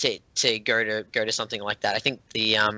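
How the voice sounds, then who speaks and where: A man with an Australian accent at medium pitch. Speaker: board game designer. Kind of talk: interview. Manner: halting, many fillers and restarts.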